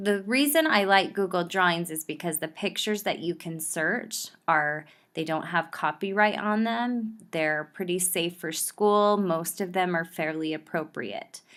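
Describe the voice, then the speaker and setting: In a very clean recording with a silent background, the speaker goes at a fairly slow pace with ordinary pitch variation. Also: woman, fairly low pitch for a woman. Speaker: school librarian. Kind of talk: tutorial. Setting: recorded video played in class via headphones.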